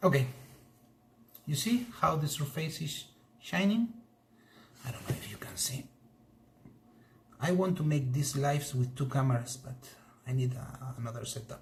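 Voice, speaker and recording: A man with a Spanish accent, fairly high in pitch for a man, ordinary pitch variation, moderate pace and long, frequent pauses. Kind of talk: live stream demonstration. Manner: halting.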